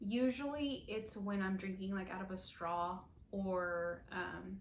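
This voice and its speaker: At a very slow pace, a woman speaks at a medium pitch, with audible room echo. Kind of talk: casual video update. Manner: hesitant, many fillers.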